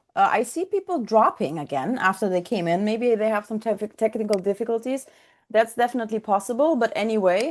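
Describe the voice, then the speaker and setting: Against a quiet background, a woman speaks at a fairly high pitch with lively intonation. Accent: Russian. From Ukraine. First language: Russian. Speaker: software trainer. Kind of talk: online coaching session. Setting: video call.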